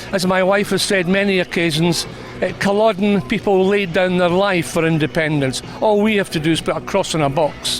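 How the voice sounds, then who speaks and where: Amid noticeable background noise, a man with a Scottish accent speaks in a high voice at a moderate pace, with ordinary pitch variation and very even loudness. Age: 70s. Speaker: political activist at a rally. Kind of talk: interview.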